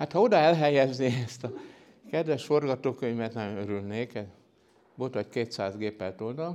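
The voice has a dark, mellow tone and ordinary pitch variation. Long, frequent pauses break up the speech. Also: man, medium pitch for a man, moderate pace. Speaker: science historian, professor. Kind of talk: lecture.

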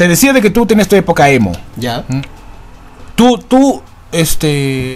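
A man talks at a high pitch with very wide pitch swings. Background noise is noticeable. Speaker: podcast host. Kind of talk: casual chat.

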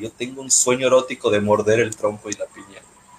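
A medium-pitched male voice at a moderate pace over noticeable background noise. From Mexico, Puerto Vallarta (Pacific coast). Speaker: podcast co-host. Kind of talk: casual chat.

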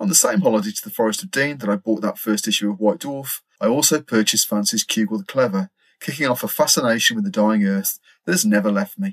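Recorded dry and close with no echo, a man talks at a very fast pace with very wide pitch swings. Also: medium pitch for a man. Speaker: podcast host. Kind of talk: casual chat.

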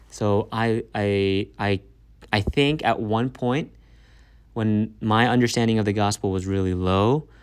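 A man talks in a plain, everyday voice at a fairly low pitch and fairly slow pace. His intonation is fairly even, on a very clean recording with a silent background. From Maryland, US. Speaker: pastor. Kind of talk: interview testimony.

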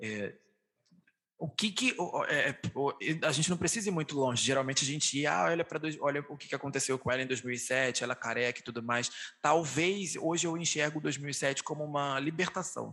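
A man with a fairly high pitch and a bright, sharp tone talks at a moderate speed, his pitch shifting in an ordinary way. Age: 20s. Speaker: podcast host. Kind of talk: casual chat.

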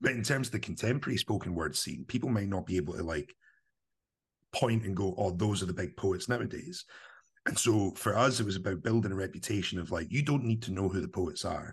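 A man's fairly low-pitched, somewhat breathy voice in a central Scottish accent, animated in tone, with lively intonation at a very fast pace, over a quiet background. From Scotland, Livingston (West Lothian). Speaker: spoken word producer and performance poet. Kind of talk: casual interview.

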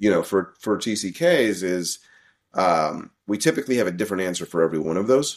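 This man has a normal speaking voice with a fairly low pitch and lively intonation. He talks at a fairly quick pace on a very clean recording with a silent background. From US South (Arkansas), teens in Vietnam. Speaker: international school principal and researcher. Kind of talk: interview.

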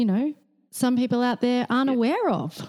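In an Australian accent, a woman with a dark, mellow tone talks with ordinary pitch variation. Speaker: podcast host. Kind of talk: casual interview.

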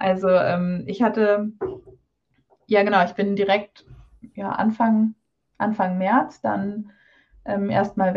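Over a quiet background, a woman speaks in a dark, mellow tone, somewhat breathy, with medium pitch and fairly even intonation. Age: 20s. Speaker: doctor and carnival band pianist. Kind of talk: casual interview.

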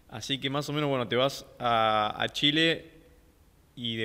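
A man's bright, sharp voice sits at a medium pitch with fairly even intonation. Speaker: podcast host. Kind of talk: casual interview.

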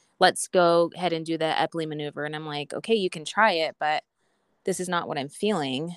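A woman talks at a fairly quick pace and a fairly low pitch with fairly even intonation, the sound dry and close with no echo. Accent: Western US. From Idaho, US. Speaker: stay-at-home mom, former personal trainer, patient. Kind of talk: interview about personal health journey.

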